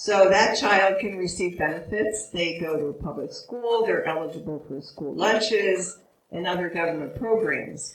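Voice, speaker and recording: Recorded with audible room echo, a woman speaks at a medium pitch and moderate pace with hardly any pauses and ordinary pitch variation. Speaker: immigration attorney. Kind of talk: panel presentation. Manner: hesitant, many fillers.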